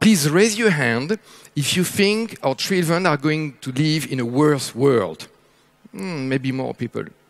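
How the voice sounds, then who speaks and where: A man with a French accent, fairly high-pitched, at a fairly slow pace and with lively intonation. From France. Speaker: futurist speaker. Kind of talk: keynote talk. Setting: stage with audience.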